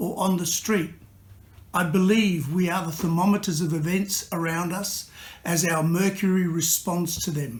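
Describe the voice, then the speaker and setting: At a moderate pace, a man talks in a high pitch with fairly even intonation. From Italy. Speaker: artist and poet. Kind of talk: prepared self-introduction.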